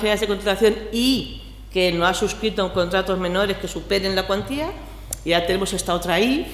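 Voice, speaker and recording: Through audible room echo and noticeable background noise, a woman talks at a fairly quick pace and medium pitch. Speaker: public procurement officer. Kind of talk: conference panel commentary. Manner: fast.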